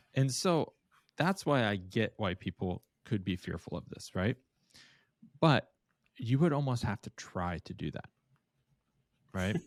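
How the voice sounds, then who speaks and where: A man speaks fairly slowly at a medium pitch, with very wide pitch swings and long, frequent pauses. The recording is very clean, silent in the background, and dry and close with no echo. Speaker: podcast co-host, conversion optimization agency. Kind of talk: casual podcast conversation.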